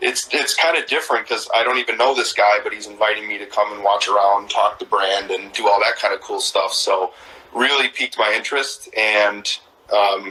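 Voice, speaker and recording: At a moderate pace, a man with a Midwestern accent speaks over noticeable background noise. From Wisconsin, Sheboygan. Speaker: disc golf brand street team member. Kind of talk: casual interview chat. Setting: live video stream.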